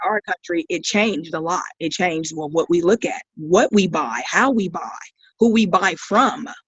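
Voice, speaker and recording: Lively intonation at a moderate pace. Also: woman, medium pitch for a woman. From US, military brat; Ohio and Mississippi. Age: 50s. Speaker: school staff member, podcast guest. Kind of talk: casual chat. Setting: online call.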